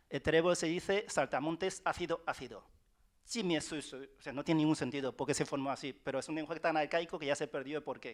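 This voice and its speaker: In a very clean recording with a silent background, a man talks at a very fast pace and a fairly high pitch with ordinary pitch variation. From China, Wenzhou. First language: Wenzhounese (speaking Spanish). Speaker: writer. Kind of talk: panel talk. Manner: halting, many repetitions.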